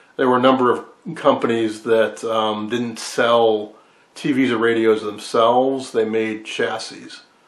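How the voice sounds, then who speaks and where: A man talks at a fairly slow pace with monotone, flat intonation. Room echo is audible. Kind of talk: casual hobby vlog explanation. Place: workshop. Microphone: phone near.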